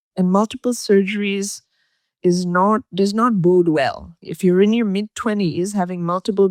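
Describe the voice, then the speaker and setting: A woman at medium pitch in an ordinary speaking voice, at a moderate pace, in a very clean, dry, close recording with a silent background and no echo. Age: 60s. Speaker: posture coach. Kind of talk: interview.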